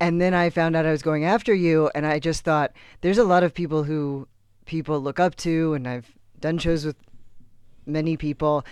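A man with an American accent has a plain, everyday voice and a fairly high pitch. His intonation stays fairly even at a moderate pace. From Texas. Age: 30s. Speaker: comedian. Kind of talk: casual chat.

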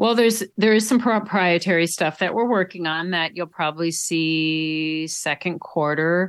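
A woman's plain, everyday voice, fairly low in pitch with ordinary variation, with an American accent, at a moderate pace, on a very clean recording over a silent background. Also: hardly any pauses. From Minnesota, Duluth. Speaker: cycling wheel company founder, former triathlete. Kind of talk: interview.

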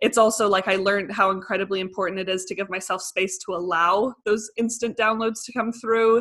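With a Canadian accent, a woman of medium pitch speaks at a fairly quick pace. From Canada. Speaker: life and business coach. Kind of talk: casual interview chat. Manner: animated.

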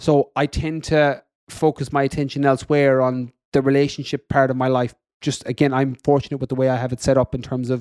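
At a fairly quick pace, a man with an Irish accent speaks in a fairly high pitch, the sound dry and close with no echo. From west of Ireland. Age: 30s. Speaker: fitness coach and podcaster. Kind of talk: interview conversation.

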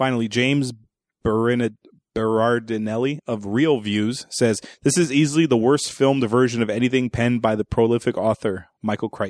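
With a normal speaking voice, a man talks at a fairly quick pace and medium pitch, his intonation fairly even, on a very clean recording with a silent background. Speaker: movie review podcast host. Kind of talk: casual comedic movie review chat.

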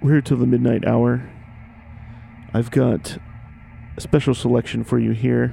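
Over music in the background, the voice has a calm tone, very even loudness, a moderate pace, and long, frequent pauses. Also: man. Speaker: radio host. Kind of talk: station announcer. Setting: radio studio broadcast. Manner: smooth, calm, laid-back, even-paced radio announcer delivery.

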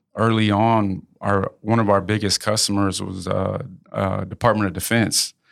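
At a moderate pace, a man speaks in a fairly low, monotone, flat voice. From Houston, Texas (born in Lafayette, Louisiana). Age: 30s. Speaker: businessman and former pro boxer. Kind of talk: casual interview. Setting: studio.

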